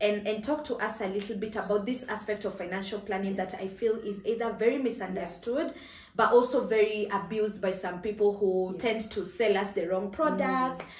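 Audible room echo surrounds a woman who talks at a fairly quick pace with hardly any pauses. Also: ordinary pitch variation. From Kenya. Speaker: YouTuber, personal finance channel host. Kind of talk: casual interview chat. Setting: studio. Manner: animated. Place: home room.

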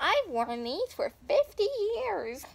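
Her pitch runs high. The woman adopts a put-on character voice. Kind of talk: casual vlog chat. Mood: playful, joking.

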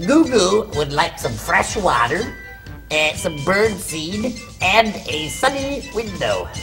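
A cartoonish character voice at middle pitch comes through over clear background music. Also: fairly slow pace. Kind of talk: children's TV puppet dialogue. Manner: hesitant, stammering.

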